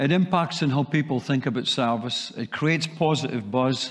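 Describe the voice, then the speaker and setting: Against a quiet background, a man speaks with a slight Scottish accent and ordinary pitch variation. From Scotland. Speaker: sales training speaker; speaker. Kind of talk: presentation. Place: hall.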